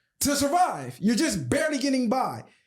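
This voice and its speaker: Loud and at a fairly quick pace, the speaker talks with an American accent. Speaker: podcast host. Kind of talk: heated debate.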